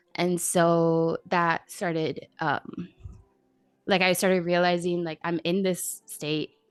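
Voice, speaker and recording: Music plays in the background as a woman with an American accent speaks at a fairly slow pace in a fairly low voice, with a dry, close sound and no echo. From Miami, Florida. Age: 20s. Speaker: streamer and content creator. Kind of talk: casual chat.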